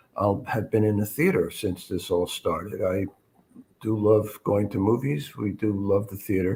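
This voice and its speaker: Speaking at a moderate pace with an American accent, a man uses a dark, mellow, somewhat breathy tone, a fairly low pitch and fairly even intonation. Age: 70s. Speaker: retired journalist. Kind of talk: casual interview chat. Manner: halting, frequent uh fillers.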